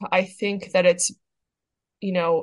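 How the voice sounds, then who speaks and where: A woman speaks fairly slowly in a fairly low, somewhat breathy voice. Her intonation is monotone and flat. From Iran. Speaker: plastic surgeon and activist. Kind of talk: podcast interview.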